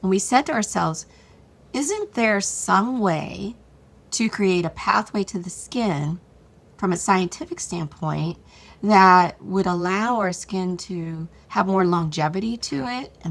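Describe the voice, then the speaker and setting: Very clean and silent in the background, the recording holds a woman's plain, everyday voice at a medium pitch. She speaks at a fairly slow pace with lively intonation. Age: 60s. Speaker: beauty brand founder. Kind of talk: interview.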